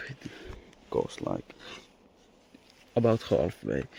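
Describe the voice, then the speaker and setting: A man's fairly slow speech with a non-native accent. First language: not English. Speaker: car hobbyist YouTuber. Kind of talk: casual vlog walkthrough. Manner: improvised, hesitant.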